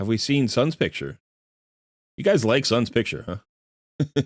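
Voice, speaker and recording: A man's voice of medium pitch carries vocal fry, recorded with a dry, close sound and no echo. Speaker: gaming livestreamer. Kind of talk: live stream chat. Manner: casual, halting.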